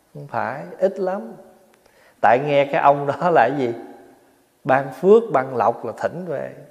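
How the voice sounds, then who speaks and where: With lively intonation, a man talks at a very slow pace with long, frequent pauses and big swings in loudness against a quiet background. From Vietnam. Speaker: Buddhist monk; monk teacher. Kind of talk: dharma talk. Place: hall.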